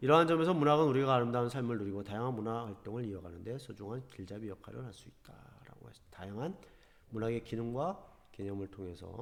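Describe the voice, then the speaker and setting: A man at a very fast pace, with lively intonation and audible room echo. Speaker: high school teacher. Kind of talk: online class lecture. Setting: recorded online lesson.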